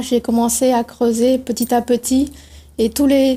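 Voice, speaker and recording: A woman's high voice with a Tamil accent, dark and mellow in tone, fairly slow, in monotone, flat intonation. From India, Pondicherry. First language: Tamil (speaking French). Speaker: novelist. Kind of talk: TV interview.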